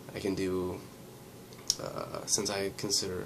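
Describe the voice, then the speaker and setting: This man's pitch is very deep and low, with monotone, flat intonation. There is noticeable background noise. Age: 20s. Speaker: vlogger. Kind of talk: casual vlog monologue. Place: home room. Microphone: webcam.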